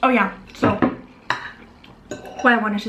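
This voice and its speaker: Fairly high female speech with audible room echo and noticeable background noise. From Germany, Vietnamese-German family. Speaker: YouTuber. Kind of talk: casual chat over a meal. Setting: home, eating at table on camera. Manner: casual, filler-heavy.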